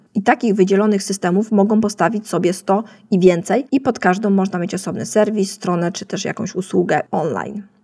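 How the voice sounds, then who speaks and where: A woman talks at a fairly quick pace with hardly any pauses, her pitch medium and its variation ordinary. Her tone is dark and mellow and somewhat breathy. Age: 30s. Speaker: podcast host, web designer. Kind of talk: solo educational podcast.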